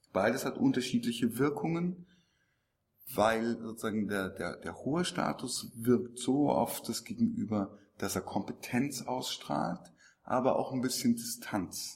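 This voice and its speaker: This man has an unremarkable speaking voice at a medium pitch. He talks at a fairly slow pace with lively intonation. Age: 40s. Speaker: actor and speaker on body language. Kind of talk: interview. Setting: conference event.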